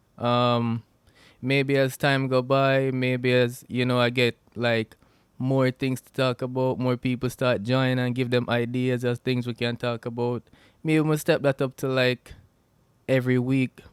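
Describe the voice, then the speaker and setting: In a Jamaican accent, a man with a medium-pitched voice speaks at a fairly slow pace, his intonation monotone and flat, his loudness swinging widely, all in a dry, close sound with no echo. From Jamaica, Westmoreland. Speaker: podcast host. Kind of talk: casual solo podcast talk. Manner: halting, many fillers and restarts.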